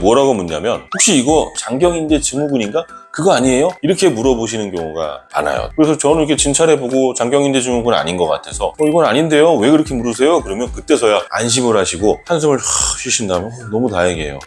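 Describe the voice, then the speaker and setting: A man talks at a very fast pace with hardly any pauses, his medium-pitched voice swinging very widely in pitch. Music plays in the background. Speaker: doctor. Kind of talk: medical explainer video.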